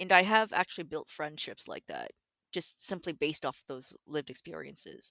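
A woman with a Canadian accent speaks at a moderate pace with a fairly low pitch and vocal fry. Her pitch varies in an ordinary way while her loudness swings widely. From Toronto, Canada. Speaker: concept artist. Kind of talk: casual interview. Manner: halting, hesitant.

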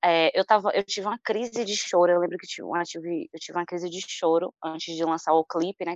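The recording is dry and close, with no echo and a quiet background. A woman talks at a medium pitch and a fairly quick pace. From Salvador, Bahia, Brazil. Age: 20s. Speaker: singer-songwriter. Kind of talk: interview.

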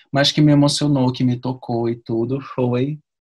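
Against a quiet background, a man speaks somewhat breathily at a medium pitch. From Rio de Janeiro, Brazil. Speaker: actor and ballet dancer. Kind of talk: interview.

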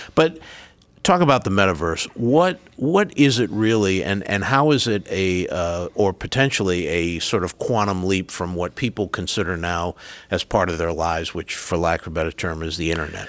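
A man with a Rhode Island accent speaks in a very deep, low pitch. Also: lively intonation, moderate pace. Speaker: university president and podcast host. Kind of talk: interview, conversational.

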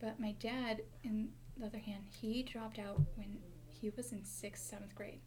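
A woman with an American accent and a fairly high pitch, at a moderate pace with ordinary pitch variation, amid audible room echo and noticeable background noise. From Montana, Mexican family. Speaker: university student, medical interpreter. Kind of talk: casual interview.

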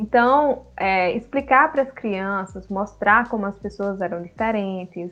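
In a plain, everyday voice, a woman speaks fairly slowly at a medium pitch with ordinary pitch variation and hardly any pauses. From Guinea-Bissau until age 7, then Brazil. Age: 20s. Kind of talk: casual discussion.

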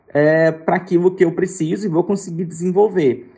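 A man talks at a high pitch. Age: 20s. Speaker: podcast creator and education researcher. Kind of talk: interview.

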